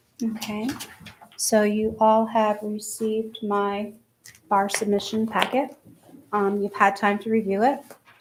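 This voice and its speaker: A soft-spoken woman talks at a fairly high pitch and a fairly slow pace. Her intonation is monotone and flat, with long, frequent pauses. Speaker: town assessor. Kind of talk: public hearing presentation.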